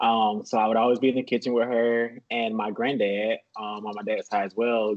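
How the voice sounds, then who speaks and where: A man with an American accent speaks at a moderate pace and medium pitch in an unremarkable speaking voice. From US South, small-town Georgia. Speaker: personal chef. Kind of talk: casual interview chat.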